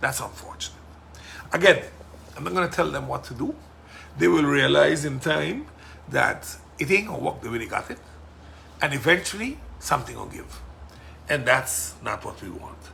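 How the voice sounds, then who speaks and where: At a moderate pace, a man with a Sint Maarten accent takes long, frequent pauses and makes big swings in loudness. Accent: Sint Maarten Caribbean English. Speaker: politician and podcast host. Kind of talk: casual monologue podcast. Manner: forceful.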